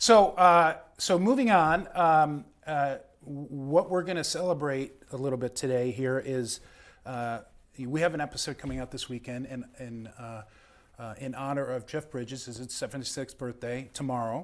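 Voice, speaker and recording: A man with a Chicago accent talks at a moderate pace in a fairly high pitch for a man, on a very clean recording with a silent background. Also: ordinary pitch variation, big swings in loudness. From Chicago, US Midwest. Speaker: live show host, prop collector. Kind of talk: casual chat. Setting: studio.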